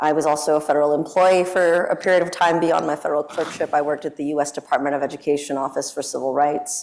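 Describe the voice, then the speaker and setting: Over noticeable background noise, a woman talks at a very fast pace with hardly any pauses. Her pitch is very deep and low, and her intonation is monotone and flat. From Sacramento, California (born in Mexico). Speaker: federal judge. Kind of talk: panel self-introduction. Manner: hesitant with fillers; loud.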